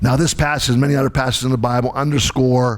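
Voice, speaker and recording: The man speaks in a medium-pitched voice. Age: 60s. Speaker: pastor. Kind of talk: sermon. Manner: halting.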